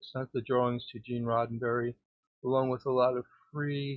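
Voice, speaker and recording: A man's medium-pitched voice with monotone, flat intonation at a moderate pace. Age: 60s. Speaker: caller. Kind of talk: casual chat. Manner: halting.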